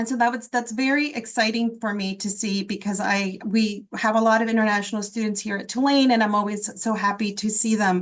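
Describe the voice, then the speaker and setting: At a fairly quick pace and with hardly any pauses, a woman with a fairly high pitch speaks in an ordinary speaking voice, her intonation fairly even. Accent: American. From South Florida, raised from childhood after leaving Guatemala. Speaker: public health professor. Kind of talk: webinar panel talk.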